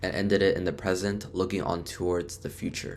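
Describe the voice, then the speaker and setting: With music in the background, a man with a non-native accent speaks at a moderate pace. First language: not English. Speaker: student vlogger. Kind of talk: tutorial. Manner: casual.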